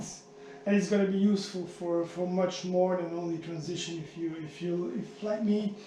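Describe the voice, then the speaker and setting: Amid noticeable background noise and audible room echo, a man with a high voice speaks at a fairly slow pace with fairly even intonation. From Flanders, Belgium. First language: Dutch (Flemish). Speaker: triathlete vlogger. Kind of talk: product demo vlog. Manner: halting, many repetitions.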